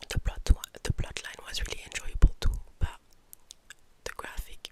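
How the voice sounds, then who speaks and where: A woman's calm, fairly slow whisper over noticeable background noise. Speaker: ASMR creator and book reviewer. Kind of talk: ASMR monthly reading wrap-up, calm talk to camera. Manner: soft-spoken, calm, relaxing.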